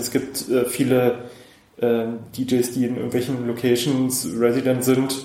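A man's medium-pitched, monotone, flat delivery at a very slow pace, with audible room echo and noticeable background noise. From Brandenburg, eastern Germany (Cottbus). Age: 30s. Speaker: wedding DJ and musician. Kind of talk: casual interview.

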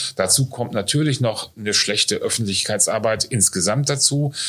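This man has an ordinary speaking voice with ordinary pitch variation and a moderate pace. His recording is very clean, and the background is silent. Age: 50s. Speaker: nursing school director. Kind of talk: interview. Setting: on location at training centre.

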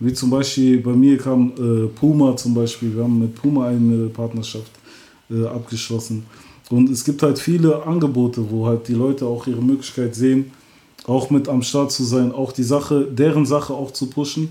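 Monotone, flat intonation from a man speaking at a moderate pace. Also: medium pitch for a man. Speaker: rapper. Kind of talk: casual interview.

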